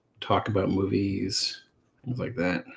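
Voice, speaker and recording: Soft-spoken and somewhat breathy, a man talks with fairly even intonation in a very clean recording with a silent background. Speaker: comic artist and streamer. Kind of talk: casual live stream chat while drawing. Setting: live stream at drawing desk. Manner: halting, many fillers and repeats.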